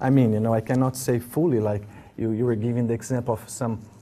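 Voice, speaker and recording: A man with an Italian accent talks at a very fast pace, his medium-pitched voice dark and mellow with fairly even intonation. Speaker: spiritual teacher. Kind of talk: interview. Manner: halting, repetitive.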